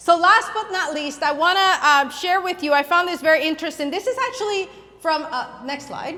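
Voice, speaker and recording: A woman speaks in a raised, projected voice at a fairly quick pace. Noticeable background noise sits behind her. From Puerto Rico. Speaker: youth ministry speaker. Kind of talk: conference talk. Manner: loud.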